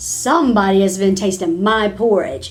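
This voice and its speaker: A female-sounding, put-on character voice at a middle pitch comes through with music in the background. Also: moderate pace. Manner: gruff, indignant.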